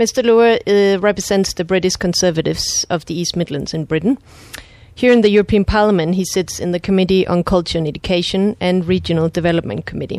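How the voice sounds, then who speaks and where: A woman with a Danish accent speaks at a very fast pace in a medium pitch with ordinary pitch variation. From Denmark. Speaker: podcast host. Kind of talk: interview.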